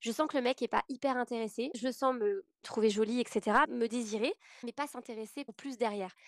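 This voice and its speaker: The woman's voice is high in pitch, with ordinary pitch variation and a moderate pace. It sounds dry and close with no echo. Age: 30s. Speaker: podcast guest sharing personal story. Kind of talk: testimony.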